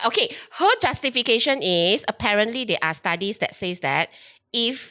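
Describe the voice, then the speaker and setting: In a Malaysian accent, a woman talks loudly at a moderate pace with a fairly high pitch, an animated, bright and sharp tone, and a dry, close sound with no echo on a very clean recording with a silent background. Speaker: HR recruiter hosting a chat show. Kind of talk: casual chat.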